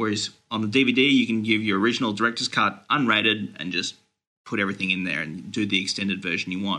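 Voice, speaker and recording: A man with an Australian accent talks at a very fast pace against a quiet background. His pitch is fairly low with ordinary variation, and his tone is bright and sharp. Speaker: movie news website editor. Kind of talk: casual chat.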